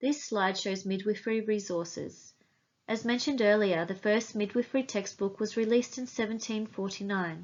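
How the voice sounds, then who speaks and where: A woman with an Australian accent speaks at a fairly quick pace and medium pitch. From Iceland, raised in Australia. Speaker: volunteer genealogist. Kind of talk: recorded presentation talk.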